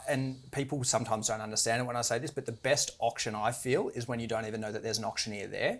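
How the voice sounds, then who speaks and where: A man talks with an Australian accent. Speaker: auctioneer. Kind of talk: interview. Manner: fast.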